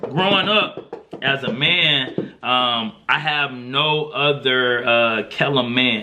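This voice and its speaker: Over noticeable background noise, a fairly high-pitched man speaks at a very slow pace with ordinary pitch variation and hardly any pauses. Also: very even loudness. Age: 30s. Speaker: podcast host. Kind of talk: casual chat. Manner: conversational, with many fillers.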